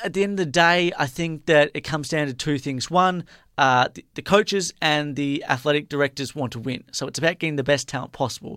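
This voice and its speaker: A man with an Australian accent talks at a fairly quick pace with hardly any pauses, his fairly high pitch moving in an ordinary way, his tone bright and sharp, on a very clean recording with a silent background and a dry, close sound with no echo. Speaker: sports radio host. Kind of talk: casual sports chat. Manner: halting, filler-heavy.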